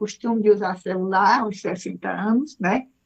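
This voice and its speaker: In a plain, everyday voice, a woman speaks at a fairly high pitch with ordinary pitch variation. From Brazil, Ceará (Fortaleza). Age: 60s. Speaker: speaker and mentor. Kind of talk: self-introduction on radio. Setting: radio studio.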